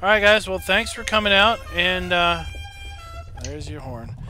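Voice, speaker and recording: A man with an American accent talks at a fairly slow pace, leaving long, frequent pauses. His loudness swings widely, and noticeable background noise can be heard. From Maryland. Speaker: gaming streamer. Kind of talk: casual chat. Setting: live stream.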